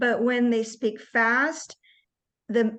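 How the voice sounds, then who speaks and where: A woman with an American accent speaks in a normal speaking voice, fairly high in pitch and at a fairly slow pace, over a quiet background. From US West Coast, Seattle area. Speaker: native-speaker English trainer. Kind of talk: online English class talk.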